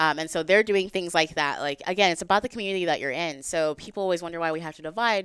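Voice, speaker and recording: In a very clean recording with a silent background, a woman with an American accent speaks at a very fast pace with hardly any pauses, at a fairly low pitch with ordinary pitch variation. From Texas. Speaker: gun rights advocate. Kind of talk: casual chat.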